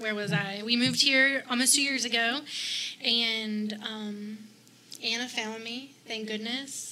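In a Southern US accent, a woman talks at a fairly slow pace with a fairly high pitch and fairly even intonation. There is audible room echo and noticeable background noise. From South Carolina (Greenwood, Columbia). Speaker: fashion blogger. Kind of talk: casual chat.

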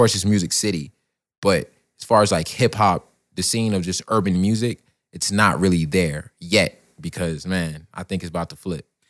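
Very deep and low, a man's voice with an American accent shows ordinary pitch variation and big swings in loudness in a very clean recording with a silent background. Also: moderate pace, dry, close sound with no echo. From Florida (Miami, then Orlando). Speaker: rapper. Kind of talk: casual interview.

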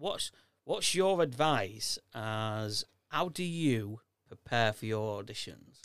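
A man's medium-pitched voice at a very slow pace. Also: lively intonation. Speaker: podcast host. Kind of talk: casual chat. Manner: loud.

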